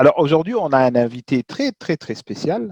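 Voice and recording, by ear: Lively in intonation, a man speaks at a moderate pace. His tone is slightly mellow, the sound dry and close with no echo.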